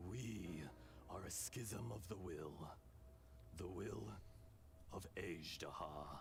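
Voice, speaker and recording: A man's put-on character voice, very deep and low, at a very slow pace with long, frequent pauses over loud background noise. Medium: game stream. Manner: calm, measured, wise.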